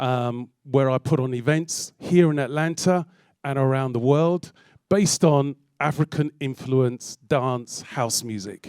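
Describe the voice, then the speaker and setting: A man speaks with a London accent at a medium pitch and fairly slow pace. The sound is dry and close with no echo, and his pitch varies in an ordinary way. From London, England. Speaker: DJ and music producer. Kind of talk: public talk. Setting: stage with audience.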